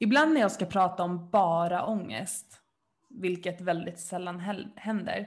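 A woman speaks at medium pitch and a moderate pace. Her voice is somewhat breathy. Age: 20s. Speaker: podcast co-host. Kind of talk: casual chat. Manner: animated.

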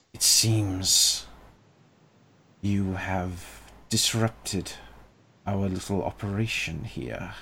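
Whispering in a put-on character voice, a man speaks very slowly with long, frequent pauses. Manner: menacing, intrusive.

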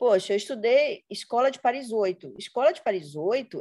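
A woman's dark, mellow tone at a fairly high pitch, with very wide pitch swings. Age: 40s. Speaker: education professor. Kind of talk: interview conversation. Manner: hesitant fillers.

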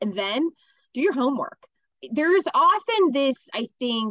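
Lively intonation in a dry, close sound with no echo. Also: woman. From Pittsburgh, South Hills. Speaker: nonprofit founder. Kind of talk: interview.

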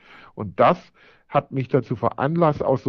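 The speaker is a man. He talks at a medium pitch. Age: 40s. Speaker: IT entrepreneur and marathon runner. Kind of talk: interview. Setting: remote line.

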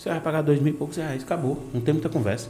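A man with a Bahian accent at a very fast pace, with music in the background. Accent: Bahian Brazilian Portuguese. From Bahia, Brazil (Vitória da Conquista). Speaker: podcast host. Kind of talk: casual chat. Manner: animated.

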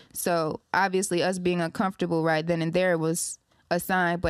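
Recorded very cleanly against a silent background, with a dry, close sound and no echo, a woman speaks at a fairly quick pace and a medium pitch. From Ypsilanti and Detroit area, Michigan. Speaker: singer. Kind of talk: casual interview. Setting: studio.

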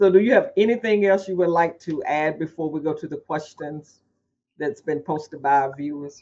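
A man uses an ordinary speaking voice, keeping a moderate pace and ordinary pitch variation. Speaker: patient coordinator / host of live Q&A. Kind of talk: live Q&A interview. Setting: live video stream with chat questions.

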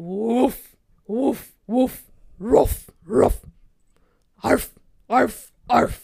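Someone uses a put-on character voice at a fairly high pitch, going very slowly with long, frequent pauses. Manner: barking.

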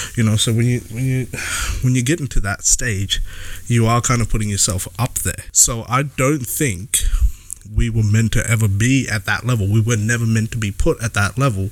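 This man has a normal speaking voice, medium in pitch, and talks at a moderate pace. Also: fairly even intonation. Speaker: podcast co-host. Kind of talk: casual chat. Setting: outdoors on a patio.

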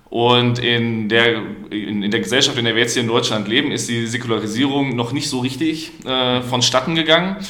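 Audible room echo and noticeable background noise surround this recording. A man speaks at a medium pitch and a moderate pace. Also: ordinary pitch variation. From Germany, Paderborn. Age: 20s. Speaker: student and liberal youth politician. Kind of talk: podcast debate.

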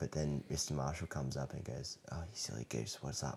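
In an Australian accent, a man talks at a moderate pace with a very deep, low pitch, vocal fry, a dark, mellow tone and ordinary pitch variation. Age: 20s. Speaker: elementary school teacher. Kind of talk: casual interview chat.

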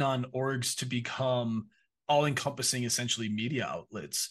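A man's medium-pitched voice with an Upper Midwest accent. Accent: Upper Midwest American. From Minnesota. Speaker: esports partnerships director. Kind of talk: interview.

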